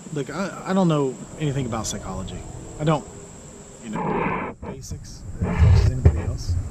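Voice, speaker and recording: A quiet voice with an American accent talks fairly quickly, with very wide pitch swings and long, frequent pauses. The recording has audible room echo and noticeable background noise. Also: man, medium pitch for a man. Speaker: self-declared presidential candidate vlogger. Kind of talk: political monologue vlog. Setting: outdoors in a park. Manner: soft-spoken; quiet, trying to speak louder. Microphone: hard to hear, too quiet.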